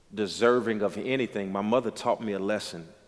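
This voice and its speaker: At a fairly quick pace, a man with an American accent talks at a fairly low pitch. He has a normal speaking voice with fairly even intonation. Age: 30s. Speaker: pastor. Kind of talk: casual chat.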